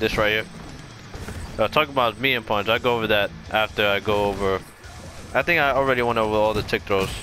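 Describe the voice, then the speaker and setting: Music plays in the background as a man talks at a fairly quick pace, fairly low in pitch and fairly even in intonation. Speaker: gaming video creator. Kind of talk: gameplay tutorial commentary. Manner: fast.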